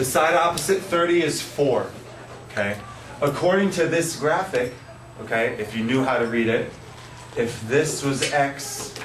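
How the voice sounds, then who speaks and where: A man with a fairly high pitch talks at a fairly slow pace, leaving long, frequent pauses. His intonation is lively, and noticeable background noise can be heard. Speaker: math teacher. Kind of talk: classroom lesson. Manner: upbeat, energetic.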